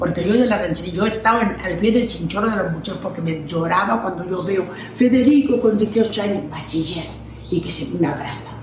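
Over noticeable background noise and audible room echo, a woman talks at a fairly quick pace with lively intonation and a medium pitch. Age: 80s+. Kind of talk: interview testimony.

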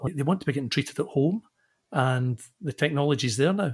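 A somewhat breathy man with a Scottish accent, fairly high-pitched and fairly quick, on a very clean recording with a silent background. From Scotland, Glasgow. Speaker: engineering consultancy managing director. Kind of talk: interview.

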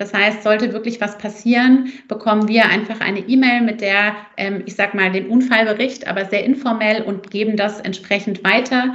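A woman at a fairly high pitch, moderate pace and monotone, flat intonation, hardly any pauses, over noticeable background noise. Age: 30s. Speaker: company founder and mother. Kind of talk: casual interview.

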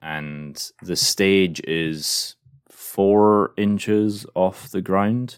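With a fairly low pitch and ordinary pitch variation, a man speaks at a very slow pace. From Glasgow, Scotland. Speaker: podcast host. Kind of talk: casual chat.

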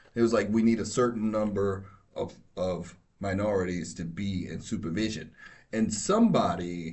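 Heard with audible room echo, the speaker has an American accent and fairly even intonation. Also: man. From New York. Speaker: law enforcement officer. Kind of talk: casual chat.

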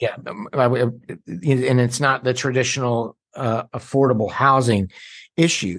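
Speaking in an ordinary speaking voice, a man keeps a medium pitch and a moderate pace with ordinary pitch variation. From North Carolina, Davidson County (rural Piedmont). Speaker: county association lobbyist. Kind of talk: casual chat.

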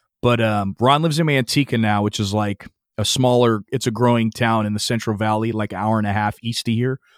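A man with a plain, everyday voice talks fairly quickly at medium pitch with fairly even intonation, the sound dry and close with no echo on a very clean recording with a silent background. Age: 30s. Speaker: metal bassist. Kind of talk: casual interview.

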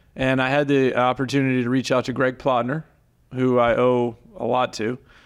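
A man with an American accent speaks in a normal speaking voice at medium pitch and a moderate pace, on a very clean recording with a silent background. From Florida. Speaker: golf course superintendent. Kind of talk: interview. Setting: in person, clubhouse.

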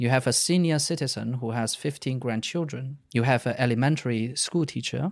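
In a very clean recording with a silent background, a man with a Chinese accent speaks at medium pitch and moderate pace with ordinary pitch variation. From China. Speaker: data science podcast co-host. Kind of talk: casual discussion.

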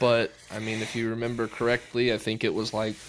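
A man talks at a moderate pace in an American accent. His medium pitch stays monotone and flat. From Texas (Georgetown, near Austin). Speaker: high school football coach, podcast co-host. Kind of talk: casual chat.

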